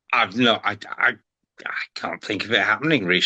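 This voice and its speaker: A man talks with a Liverpool accent. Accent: Scouse (Liverpool). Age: 70s. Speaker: retired sports presenter. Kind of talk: podcast interview. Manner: halting, repeats words.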